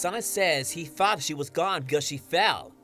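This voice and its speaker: At a moderate pace, a man speaks in a fairly high pitch with music behind him. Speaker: comic reviewer and voice actor. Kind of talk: comic review talk to camera.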